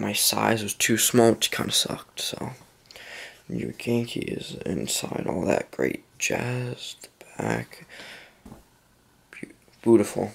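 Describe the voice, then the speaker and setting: Quiet speech with fairly even intonation. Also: man. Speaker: gaming YouTuber. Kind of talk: casual vlog. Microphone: phone near.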